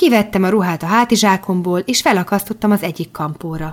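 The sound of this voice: Pitch shifts in an ordinary way through an unforced reading voice.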